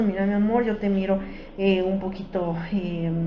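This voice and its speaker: A woman speaks fairly slowly with fairly even intonation. There is noticeable background noise and audible room echo. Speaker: psychologist giving a workshop talk. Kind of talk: educational workshop talk. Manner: hesitant, many fillers.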